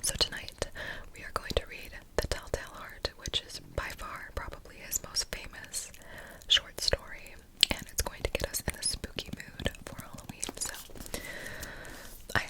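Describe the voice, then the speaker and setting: A woman whispering at a moderate pace, with long, frequent pauses, big swings in loudness and noticeable background noise. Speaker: ASMR creator. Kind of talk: ASMR intro talk to camera. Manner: whispered.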